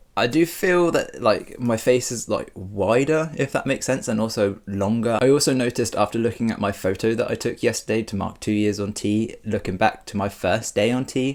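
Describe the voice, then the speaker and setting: Hardly pausing, a man with a British accent speaks at a fairly quick pace. His pitch shows ordinary variation. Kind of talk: personal vlog.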